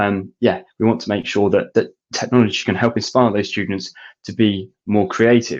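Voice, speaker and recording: With a British accent, a man speaks at a fairly low pitch and a moderate pace in monotone, flat intonation. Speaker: education technology specialist. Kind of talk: webinar presentation. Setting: online webinar. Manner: halting.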